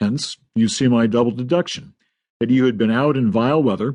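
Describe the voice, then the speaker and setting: A man's medium-pitched voice, dark and mellow in tone, with ordinary pitch variation at a fairly quick pace against a quiet background. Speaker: audiobook narrator. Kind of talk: audiobook narration. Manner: well paced.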